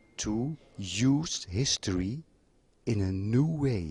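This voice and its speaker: Somewhat breathy male speech with lively intonation, dry and close with no echo. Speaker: architect. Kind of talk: interview monologue. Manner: slow; halting.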